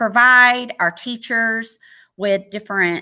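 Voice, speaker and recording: A woman speaks very slowly with an American accent. Her tone is bright and sharp. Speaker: teacher. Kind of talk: webinar presentation. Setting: online webinar.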